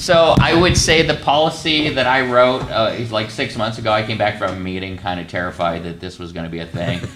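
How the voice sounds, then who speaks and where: Amid audible room echo and noticeable background noise, the speaker rushes along at a fairly quick pace with hardly any pauses and very wide pitch swings. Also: man, fairly low pitch for a man. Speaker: county IT staff presenting policy. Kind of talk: public meeting presentation. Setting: county commissioners meeting.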